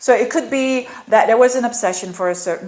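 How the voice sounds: A woman speaks with lively intonation. Audible room echo surrounds her voice.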